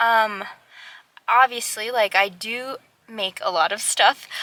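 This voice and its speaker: A woman with an American accent speaks at a fairly slow pace. Her fairly high voice has a bright, sharp tone. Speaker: small business owner vlogger. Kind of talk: casual vlog talk.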